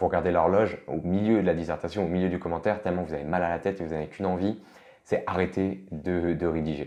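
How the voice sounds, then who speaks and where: The man's pitch is very deep and low. He talks at a fairly quick pace. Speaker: law tutor. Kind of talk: tutorial. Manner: fast; casual, hesitant.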